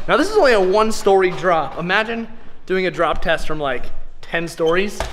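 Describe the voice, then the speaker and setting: There is noticeable background noise as a man speaks. He keeps a moderate pace with ordinary pitch variation. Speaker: vlogger. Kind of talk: casual vlog chat. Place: street. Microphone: phone near.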